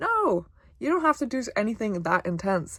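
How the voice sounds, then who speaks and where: In a very clean recording with a silent background, a woman talks at a moderate pace. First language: Polish. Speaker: self-help vlogger. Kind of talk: motivational talk to camera. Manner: casual, conversational.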